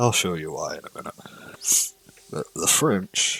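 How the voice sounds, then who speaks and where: A soft-spoken man talks over noticeable background noise. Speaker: gaming YouTuber. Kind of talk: casual video intro; casual gameplay commentary.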